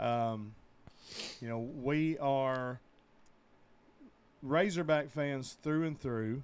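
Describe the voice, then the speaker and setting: Very slowly and with long, frequent pauses, a man speaks in an Arkansas accent. His pitch is fairly high, with ordinary pitch variation. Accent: US Southern (Arkansas). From Northeast Arkansas (Truman, near Jonesboro). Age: 40s. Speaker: sports podcast co-host. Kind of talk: casual chat.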